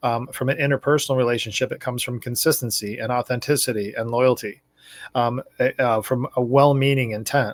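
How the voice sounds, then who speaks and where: Here a man speaks at medium pitch in a monotone, flat intonation. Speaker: video blogger. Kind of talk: casual monologue. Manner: fast.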